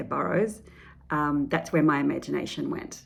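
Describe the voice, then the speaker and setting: The speaker has an Australian accent and vocal fry. The pace is fairly quick. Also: woman. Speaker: children's author. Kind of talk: book presentation to educators. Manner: hesitant, many fillers.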